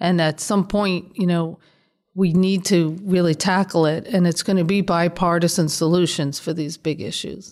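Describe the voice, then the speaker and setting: An unremarkable speaking voice from a woman, fairly low in pitch, with fairly even intonation at a moderate pace, on a very clean recording with a silent background. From New York, South Bronx. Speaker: state legislator. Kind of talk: interview.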